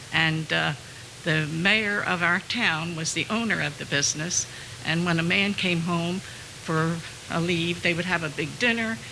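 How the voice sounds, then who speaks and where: Fairly slow speech from a woman with a fairly low pitch and ordinary pitch variation, over noticeable background noise. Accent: American. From New Jersey, Hamilton. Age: 80s+. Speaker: former bookkeeper. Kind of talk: personal testimony.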